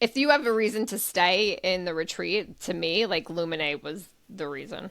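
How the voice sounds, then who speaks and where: A woman with an American accent, medium in pitch, animated in tone, with lively intonation, big swings in loudness and a moderate pace. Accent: New York, comes out sometimes. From New York. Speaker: travel podcast co-host. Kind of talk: casual chat.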